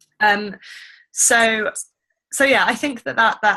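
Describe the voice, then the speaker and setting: A woman speaks in a bright, sharp tone with ordinary pitch variation. The background is quiet. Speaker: TB policy advocate. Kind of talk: conference call briefing. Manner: fast; halting, many fillers.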